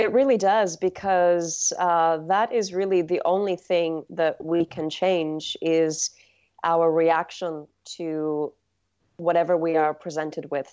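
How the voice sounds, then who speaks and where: Against a quiet background, a woman talks at a very slow pace in a calm, dark, mellow tone, her pitch fairly low and her intonation fairly even. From England, outskirts of London. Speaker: yoga and meditation teacher. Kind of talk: interview.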